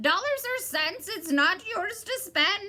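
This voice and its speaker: Someone does a shrill, cackling put-on character voice. The pace is fairly slow. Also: woman. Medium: read story. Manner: interrupting, twisting words.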